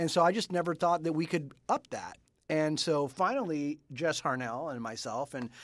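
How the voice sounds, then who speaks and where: A man at a moderate pace with ordinary pitch variation, in a very clean recording with a silent background. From Florida, Cuban family, born in Cuba. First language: Spanish. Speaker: voice actor and webcast co-host. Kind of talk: casual chat. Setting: studio. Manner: animated.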